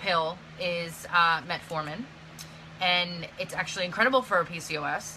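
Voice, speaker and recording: Light background noise runs under the voice. The pace is fairly slow. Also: woman. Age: 30s. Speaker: vlogger. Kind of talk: casual chat. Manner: casual, filler-heavy. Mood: earnest, somewhat frustrated. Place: home room. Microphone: phone near.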